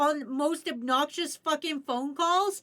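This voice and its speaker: Raised and projected, a woman's voice carries a bright, sharp tone, lively intonation and a fairly slow pace. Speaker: streamer. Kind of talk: casual chat. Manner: animated.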